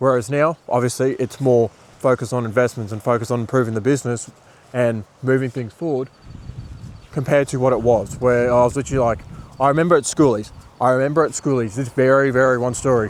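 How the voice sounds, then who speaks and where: The delivery is very fast, with an Australian accent. Intonation stays fairly even. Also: man, medium pitch for a man. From Australia (Bundaberg, Queensland). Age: 20s. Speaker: marketing agency owner and business coach. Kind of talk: motivational talk to camera. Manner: casual, filler-heavy.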